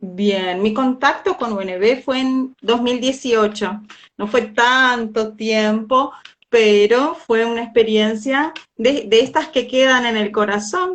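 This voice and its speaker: A woman's fairly high voice at a very slow pace. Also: ordinary pitch variation. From Brazil, Uruguay border (Livramento). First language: Portuguese (speaking Spanish). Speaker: language teacher. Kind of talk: casual chat.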